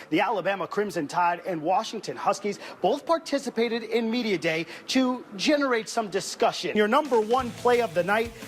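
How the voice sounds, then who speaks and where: Against noticeable background noise, a man speaks at a fairly quick pace with lively intonation. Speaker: sports anchor/reporter. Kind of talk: TV sports news report.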